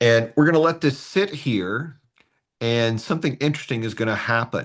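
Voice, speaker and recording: Speaking at a moderate pace with lively intonation, a man with a medium pitch and a slight North Carolina accent is heard against a quiet background. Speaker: astronomy workshop presenter. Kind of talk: tutorial. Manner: conversational, with hesitations.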